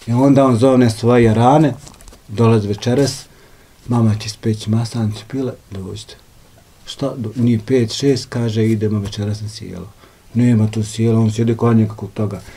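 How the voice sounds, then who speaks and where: A man speaks at a moderate pace in a monotone, flat intonation. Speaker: house host. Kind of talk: interview answer, storytelling. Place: home room.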